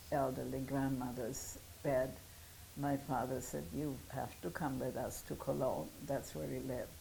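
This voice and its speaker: A woman with a German accent speaks at a fairly slow pace in a dark, mellow tone, her very deep, low pitch marked by vocal fry. Audible room echo is present. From Germany. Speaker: Holocaust survivor. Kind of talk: testimony. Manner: halting.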